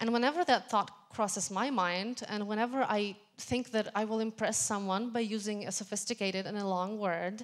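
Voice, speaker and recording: This woman has a fairly high pitch and a non-native accent. She speaks with hardly any pauses. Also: ordinary pitch variation, moderate pace. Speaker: tech meetup speaker. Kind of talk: lightning talk.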